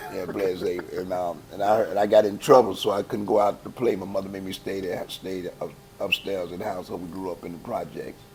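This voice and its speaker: A man delivers his words at a fairly quick pace and with fairly even intonation, noticeable background noise behind him. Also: fairly low pitch for a man, hardly any pauses, big swings in loudness. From Chicago, West Side. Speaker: gospel choir founder. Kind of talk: interview. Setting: church. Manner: casual, halting with repetitions.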